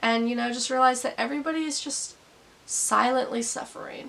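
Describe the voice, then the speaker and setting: A woman speaks fairly quickly in a raised, projected voice at a high pitch. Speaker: YouTube vlogger. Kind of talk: casual vlog monologue. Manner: casual, conversational.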